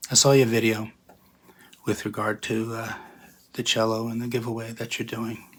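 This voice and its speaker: A man talks at a moderate pace. His pitch sits in the medium range. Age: 60s. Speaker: contest entrant, guitarist. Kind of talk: video submission monologue.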